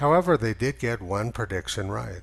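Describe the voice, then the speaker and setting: Very wide pitch swings and vocal fry run through a man's speech. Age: 60s. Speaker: climate skeptic commentator. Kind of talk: scripted narration.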